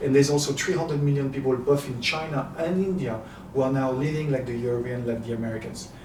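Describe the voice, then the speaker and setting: At a very fast pace, a man with a French accent speaks at medium pitch with fairly even intonation. Noticeable background noise and audible room echo fill the recording. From France, Paris. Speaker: happiness coach and entrepreneur. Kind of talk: interview. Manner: halting.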